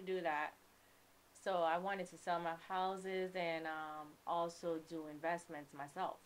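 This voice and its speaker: In a New York accent, a woman speaks at a fairly slow pace and a fairly low pitch, her intonation monotone and flat but her loudness swinging widely, with light background noise. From New York, the Bronx (born in Kingston, Jamaica). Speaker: realtor and music manager; podcast guest. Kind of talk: casual interview. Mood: relaxed, reflective. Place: studio. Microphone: studio mic.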